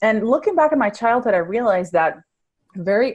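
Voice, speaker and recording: Speaking at a fairly quick pace with lively intonation, a woman talks with a Spanish accent. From Venezuela. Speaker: life coach. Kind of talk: podcast interview.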